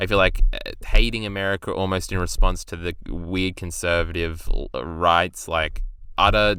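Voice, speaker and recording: In a very clean recording with a silent background, a man speaks at a moderate pace with a very deep, low pitch and monotone, flat intonation. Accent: Australian. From Australia. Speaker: YouTube video reviewer. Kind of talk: casual commentary review. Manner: casual, hesitant with fillers.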